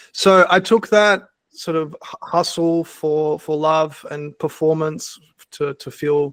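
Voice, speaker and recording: Over a quiet background, a man with an Australian accent speaks at a fairly high pitch with fairly even intonation, the sound dry and close with no echo. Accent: thick Australian. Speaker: workshop facilitator and mindset coach. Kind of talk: online workshop talk.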